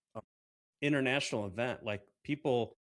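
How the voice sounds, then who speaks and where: A man speaks with a medium pitch. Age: 50s. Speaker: podcast host. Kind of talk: casual chat.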